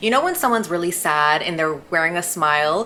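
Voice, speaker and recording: Very fast talk from a woman at a fairly low pitch, with ordinary pitch variation and noticeable background noise. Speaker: lifestyle YouTuber. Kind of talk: casual advice talk to camera.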